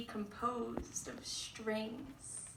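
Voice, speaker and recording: A woman is speaking. Noticeable noise runs in the background. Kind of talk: spoken word poetry performance.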